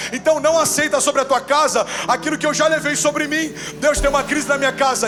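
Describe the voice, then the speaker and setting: A man's extremely high-pitched voice at a fairly quick pace, music in the background. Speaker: pastor. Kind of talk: sermon. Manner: fast; animated.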